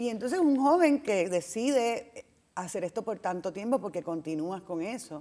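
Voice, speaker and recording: Speaking with a Puerto Rican accent, a woman makes very wide pitch swings. The background is quiet. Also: moderate pace. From Puerto Rico. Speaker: TV talk show host. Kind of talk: interview. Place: hall.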